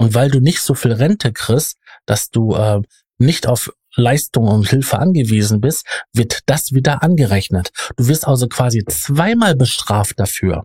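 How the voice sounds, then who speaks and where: A man talks at a fairly slow pace in a medium pitch, somewhat breathy, with lively intonation. The sound is dry and close with no echo, and the recording is very clean with a silent background. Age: 40s. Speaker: podcast host. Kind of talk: casual discussion. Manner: hesitant, many filler sounds.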